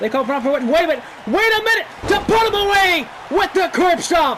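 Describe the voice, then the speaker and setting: Speech at a moderate pace over crowd noise in the background. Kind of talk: live commentary. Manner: loud, shouting; animated.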